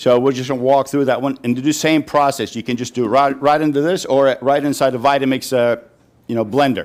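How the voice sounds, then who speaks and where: A man talks at a very fast pace in a fairly high pitch. His intonation is monotone and flat. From Turkey (Istanbul). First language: Turkish. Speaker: chef. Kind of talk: cooking demonstration. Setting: live audience at a farm dinner. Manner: casual, chatty.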